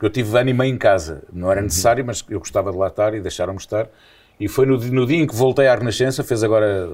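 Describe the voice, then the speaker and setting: A man's very fast speech at medium pitch with ordinary pitch variation. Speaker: radio presenter. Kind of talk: casual chat.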